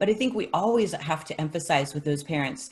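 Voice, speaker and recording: Her voice very deep and low, a woman speaks somewhat breathily at a moderate pace with lively intonation. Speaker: music teacher. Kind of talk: casual chat.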